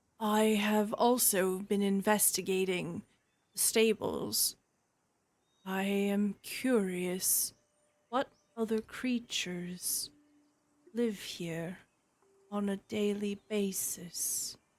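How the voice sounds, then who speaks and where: A woman speaks in a put-on character voice at a medium pitch. She goes very slowly, with long, frequent pauses. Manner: curious, measured.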